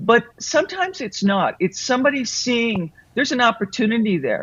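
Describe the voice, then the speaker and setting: Noticeable background noise sits behind a woman whose fairly high voice makes very wide pitch swings. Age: 60s. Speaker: author and business consultant. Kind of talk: interview.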